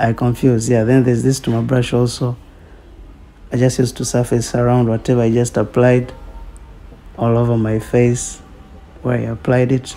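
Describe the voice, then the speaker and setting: Long, frequent pauses and monotone, flat intonation over noticeable background noise. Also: man, medium pitch for a man, moderate pace. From Tanzania. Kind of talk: humorous makeup tutorial voiceover. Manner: casual, unsure, joking.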